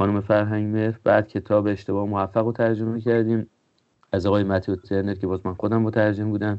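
Talking at a very fast pace, a man keeps a fairly low pitch and a monotone, flat intonation. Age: 40s. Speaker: engineer and book publisher. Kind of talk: interview.

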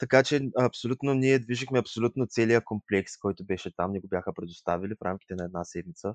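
A man with fairly low pitch, very fast pace and hardly any pauses, ordinary pitch variation and big swings in loudness, in a dry, close sound with no echo. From Bulgaria, Yambol. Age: 20s. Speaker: tourism graduate. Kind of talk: interview.

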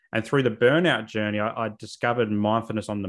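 Talking at a very fast pace, a man with a fairly low pitch speaks in an Australian accent. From South Australia, northern suburbs of Adelaide. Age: 30s. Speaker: social worker and therapist. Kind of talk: podcast interview.

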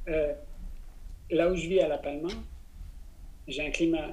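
Audible room echo surrounds a man with a high pitch. He keeps a moderate pace and a monotone, flat intonation. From France, Besançon. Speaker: business coach and plant-based cooking school director. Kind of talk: interview conversation.

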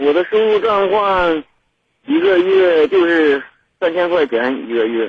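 Speaking at a very slow pace, a man keeps his loudness very even while his pitch swings very widely. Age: 20s. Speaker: caller, welder. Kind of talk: call-in advice conversation. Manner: stuttering, repeats syllables.

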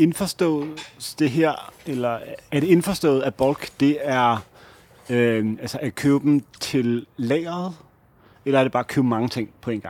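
A man with a fairly high voice speaks very slowly, his pitch varying in an ordinary way. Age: 30s. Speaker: podcast co-host. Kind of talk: casual chat. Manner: hesitant, many filler sounds.

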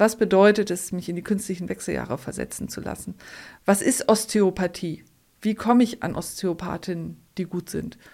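A woman's dark, mellow tone with vocal fry and fairly even intonation. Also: medium pitch for a woman, moderate pace. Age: 50s. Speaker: endometriosis patient. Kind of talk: interview.

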